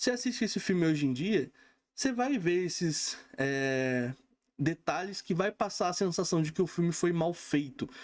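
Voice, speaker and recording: Lively intonation from a man with a high pitch, at a moderate pace, in a very clean recording with a silent background. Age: 30s. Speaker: film reviewer. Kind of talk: casual film review monologue. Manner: casual, conversational with frequent fillers.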